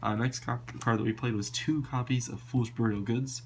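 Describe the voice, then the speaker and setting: Using vocal fry, a man talks in a fairly low pitch. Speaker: card game player. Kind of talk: casual talk to camera. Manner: casual, hesitant with many fillers.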